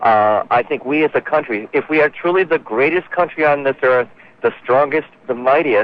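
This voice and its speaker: Delivered at a moderate pace and very even loudness, an unremarkable speaking voice shows ordinary pitch variation. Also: man, fairly high pitch for a man. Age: 30s. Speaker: caller. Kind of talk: casual chat. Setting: phone call.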